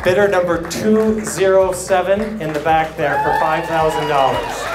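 A man at a moderate pace, under loud background noise. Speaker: charity auctioneer. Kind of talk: charity auction bid calling. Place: hall. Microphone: handheld.

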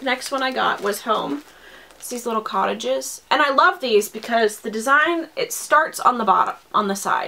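A woman speaks at a moderate pace in a fairly high voice, her pitch swinging very widely and her loudness rising and falling a lot. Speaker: cross-stitch video blogger. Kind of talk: casual haul video talk. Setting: home video recording. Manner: hesitant with frequent fillers.

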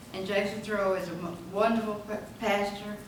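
A woman speaks fairly slowly with an Alabama accent. Room echo is audible, and background noise is noticeable. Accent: Southern US (Alabama). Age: 80s+. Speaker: retired teacher. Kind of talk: farewell speech. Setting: city council meeting. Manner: halting.

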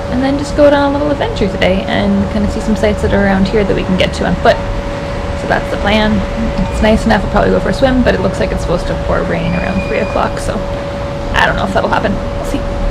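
Loud background noise fills the clip. Over it, a woman speaks at a very fast pace. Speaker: travel vlogger. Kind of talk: casual vlog chat. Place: home room. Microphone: phone near.

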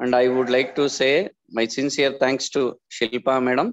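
A man with an Indian accent at a moderate pace against a quiet background. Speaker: college staff giving vote of thanks. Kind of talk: vote of thanks. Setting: video call. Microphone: video call.

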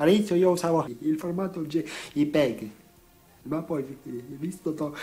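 Music plays in the background as a man talks at a very slow pace. His pitch varies in an ordinary way. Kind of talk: casual talk to camera.

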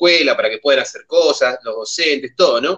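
Against a quiet background, a man with an Argentine accent talks at a moderate pace. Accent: Argentine Spanish (Rioplatense). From Argentina. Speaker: community TV host. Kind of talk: casual chat. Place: home room. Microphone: video call.

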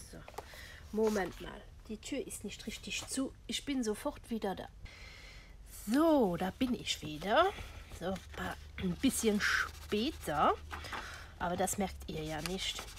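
A woman speaks at a very slow pace, with long, frequent pauses and big swings in loudness. Light background noise sits underneath. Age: old. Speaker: crafting YouTuber. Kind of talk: tutorial; casual tutorial chat. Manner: casual with frequent fillers. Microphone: camera far.

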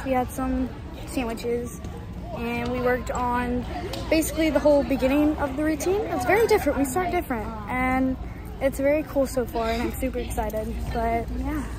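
A woman at a moderate pace, with clear music in the background and a dry sound with no echo. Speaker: cheer athlete vlogger. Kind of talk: casual vlog chat. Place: gym. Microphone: phone near.

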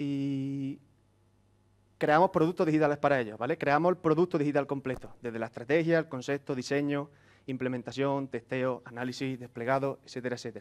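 Speaking with an Andalusian accent, a man talks at a fairly quick pace in a fairly high pitch with fairly even intonation. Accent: Andalusian (Córdoba). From Andalusia, Córdoba (Spain); Andalusia, Spain. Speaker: software engineer, conference speaker; conference speaker. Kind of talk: conference talk. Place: classroom.

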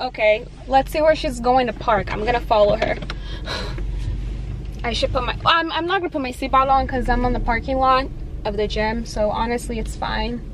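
A woman speaks with ordinary pitch variation and long, frequent pauses. The sound is dry with no echo, over noticeable background noise. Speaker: fitness vlogger. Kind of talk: casual vlog chat. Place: car. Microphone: phone near.

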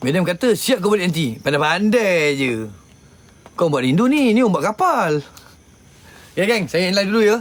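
The man's intonation is lively as he speaks. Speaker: paranormal live streamer. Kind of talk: casual live stream chat. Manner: loud; blunt, rough-spoken.

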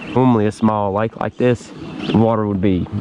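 A man speaks in a monotone, flat intonation with noticeable background noise. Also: dry sound with no echo. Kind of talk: casual vlog chat. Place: boat. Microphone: phone near.

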